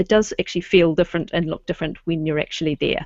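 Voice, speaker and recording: A woman speaks with a New Zealand accent and fairly even intonation. The sound is dry and close, with no echo. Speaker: webinar host, local history society committee member. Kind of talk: online presentation. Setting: video call. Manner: casual, frequent um fillers.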